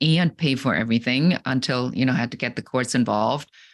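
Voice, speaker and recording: A woman speaks at a fairly quick pace with a very deep, low pitch. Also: very clean recording, silent background. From Germany. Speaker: business coach. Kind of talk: podcast interview.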